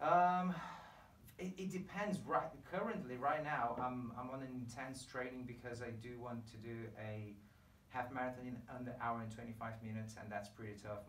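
A man's lively intonation at a moderate pace, with light background noise and audible room echo. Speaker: podcast host. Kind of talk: podcast interview talk. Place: home room.

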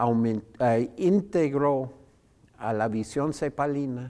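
A man's voice carries a dark, mellow tone with ordinary pitch variation. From United States. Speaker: economist and professor; professor. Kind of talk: interview. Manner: halting with many fillers. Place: studio. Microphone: lapel.

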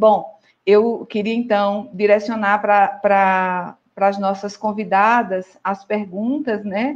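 At a very slow pace with hardly any pauses, a woman speaks at medium pitch with fairly even intonation. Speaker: psychologist and professional council president. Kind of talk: online panel discussion. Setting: video call livestream.

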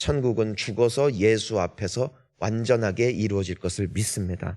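A man uses an ordinary speaking voice, moving at a moderate pace with ordinary pitch variation. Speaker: pastor. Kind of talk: sermon; reading aloud. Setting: church.

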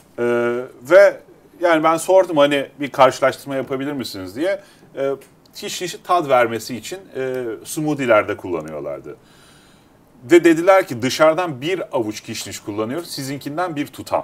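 Big swings in loudness from a man at a fairly high pitch and a moderate pace. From Turkey, Istanbul. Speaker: agritech company founder; guest. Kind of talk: interview. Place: studio. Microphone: lapel.

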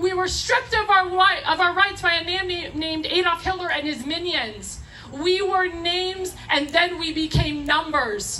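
Over music in the background, a woman speaks in a raised, projected voice at an extremely high pitch, with a passionate tone, ordinary pitch variation and a moderate pace. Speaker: rally speaker. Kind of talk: rally speech, fiery political appeal to a live crowd. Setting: outdoor rally stage with audience. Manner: passionate, emphatic, punchy repeated phrases, crowd-rousing; urgent, preaching tone with audience interjections. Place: stage.

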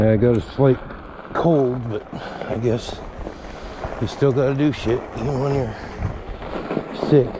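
Against noticeable background noise, a man talks at a fairly slow pace with long, frequent pauses, a medium pitch and fairly even intonation. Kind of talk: casual vlog narration while riding. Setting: outdoors.

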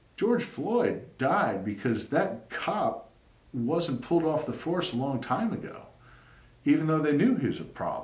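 The speaker talks at a fairly slow pace with an American accent. An audible room echo surrounds the voice. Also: man, fairly high pitch for a man. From US South. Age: 50s. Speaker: YouTuber; commentator. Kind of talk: monologue; casual opinion talk to camera. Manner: halting. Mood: earnest, opinionated. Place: home room.

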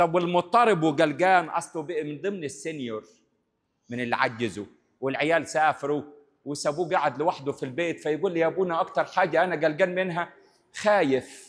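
At a moderate pace, a man talks in a fairly high pitch with ordinary pitch variation. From Egypt. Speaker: priest. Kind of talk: sermon. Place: church. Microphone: handheld.

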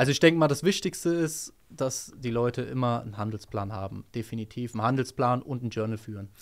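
With an ordinary speaking voice at medium pitch, a man talks at a fairly quick pace with hardly any pauses, ordinary pitch variation and big swings in loudness, on a very clean recording with a silent background. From Hesse, Germany (Rödermark). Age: 20s. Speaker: trader, former car mechanic. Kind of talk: interview answers. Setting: office.

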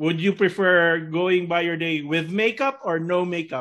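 Over a quiet background, a man talks at a high pitch and a fairly slow pace, with ordinary pitch variation. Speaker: talk show co-host. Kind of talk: casual interview. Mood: friendly, playful. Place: home room. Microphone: video call.

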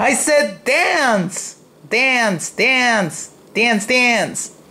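Raised and projected, the voice carries lively intonation. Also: man, extremely high pitch for a man. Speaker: hobbyist robot builder. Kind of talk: casual voice-command demo. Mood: playful, mildly frustrated. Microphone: phone near.

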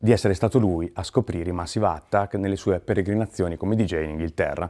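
Against a quiet background, a man speaks at a fairly low pitch. His tone is dark and mellow, with fairly even intonation. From Emilia-Romagna, Italy. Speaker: musician and author guest at a library reading event; guest. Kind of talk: recap monologue to camera. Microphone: lapel.

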